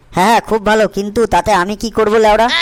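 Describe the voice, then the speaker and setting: A woman puts on a gruff character voice, speaking in a flat monotone. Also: medium pitch for a woman, fairly quick pace. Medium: fan dub. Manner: gruff, foul-mouthed.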